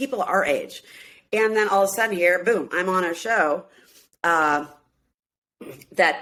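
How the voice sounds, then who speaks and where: In an American accent, a woman speaks at a medium pitch with a bright, sharp tone and lively intonation. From US Midwest, Minneapolis. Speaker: singer and reality show cast member. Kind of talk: casual interview chat.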